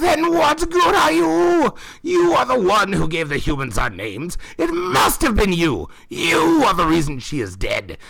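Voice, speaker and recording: A man speaks in a put-on character voice. His pace is moderate. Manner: furious, snarling.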